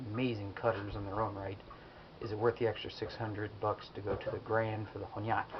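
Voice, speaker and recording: Soft-spoken and fairly low-pitched, a man talks at a very fast pace. His intonation stays monotone and flat over noticeable background noise. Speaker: kitchen knife enthusiast. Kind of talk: casual product review talk to camera.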